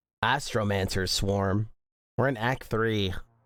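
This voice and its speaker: Music runs in the background as a man speaks in an animated tone. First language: not English. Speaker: gaming streamer. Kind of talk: live game stream commentary.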